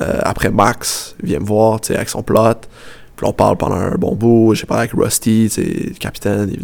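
Speaking with a Quebec accent at a fairly slow pace, a man keeps a medium pitch with ordinary variation while noticeable background noise runs underneath. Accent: Québécois French. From Quebec, Montreal south shore. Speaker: professional football goalkeeper. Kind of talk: interview.

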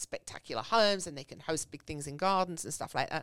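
A woman with an English accent and lively intonation at a fairly quick pace, in a very clean recording with a silent background and a dry, close sound with no echo. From England. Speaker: small business owner. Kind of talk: casual chat.

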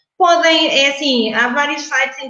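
A woman's voice, with ordinary pitch variation, carries audible room echo. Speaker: English communication trainer. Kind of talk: interview.

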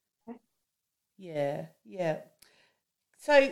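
A woman speaks very slowly, her pitch swinging very widely. The recording is very clean, with a silent background. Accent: Australian. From Australia, rural New South Wales. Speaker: podcast host, farmer's wife. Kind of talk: casual interview chat.

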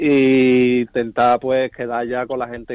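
A man at a medium pitch, speaking at a very slow pace. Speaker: football supporters' club president. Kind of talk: interview.

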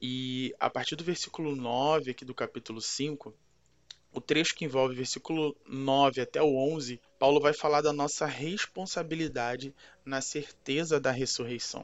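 Fairly high in pitch, a man speaks at a fairly slow pace in an unremarkable speaking voice. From Brazil, Rio de Janeiro. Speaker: pastor. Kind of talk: scripted Bible teaching.

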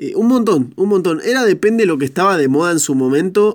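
The man's delivery is animated, and his intonation rises and falls in a lively way. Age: 20s. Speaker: podcast host. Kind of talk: casual solo monologue.

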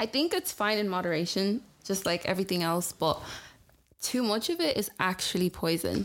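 A woman speaks at a moderate pace in a medium pitch, her voice moving in big pitch swings.

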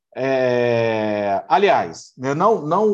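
This man speaks very slowly. His pitch swings very widely from moment to moment. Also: quiet background. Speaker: program host. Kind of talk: casual interview chat.

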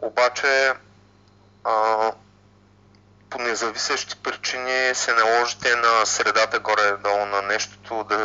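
A man talks at a fairly slow pace in a monotone, flat intonation. Long, frequent pauses break up his speech. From Bulgaria, Ruse. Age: 30s. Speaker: software developer and hiker. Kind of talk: interview. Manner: hesitant, many fillers.

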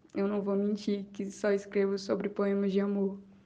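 A woman talks at a medium pitch, and noticeable background noise can be heard. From Paraíba, northeastern Brazil. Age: 20s. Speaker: poet and communication student. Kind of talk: interview.

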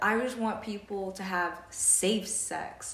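A woman's medium-pitched voice, with noticeable background noise. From Jamaican heritage. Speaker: podcast co-host. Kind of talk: casual chat.

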